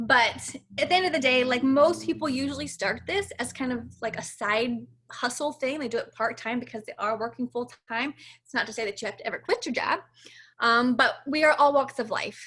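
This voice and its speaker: A woman talks at a fairly quick pace in a high pitch. Her tone is bright and sharp, with ordinary pitch variation. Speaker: fitness coach. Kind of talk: info session presentation. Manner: fast; animated.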